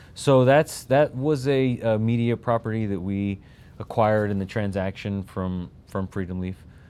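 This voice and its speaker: In an American accent, a man talks with a dark, mellow tone and ordinary pitch variation. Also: fairly low pitch for a man, moderate pace. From Texas. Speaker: business executive, military veteran. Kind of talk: casual interview. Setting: studio.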